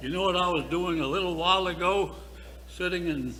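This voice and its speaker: A man speaks at a moderate speed, and audible room echo surrounds his voice. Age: 80s+. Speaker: retired-age priest. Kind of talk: speech at parish annual meeting.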